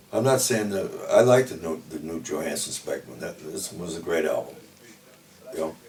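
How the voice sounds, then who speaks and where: Lively intonation and an American accent come through at a moderate pace against noticeable background noise. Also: man, very deep, low pitch for a man. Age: 60s. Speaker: death metal musician. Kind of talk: interview. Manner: casual, frequent fillers.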